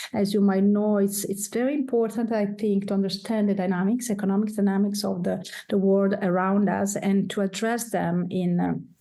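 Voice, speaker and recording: With an Italian accent, a woman speaks at a moderate pace and medium pitch in a dark, mellow tone, her intonation flat and monotone, her loudness very even and her pauses hardly there. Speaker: professor, degree program coordinator. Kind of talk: presentation. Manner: halting, many fillers.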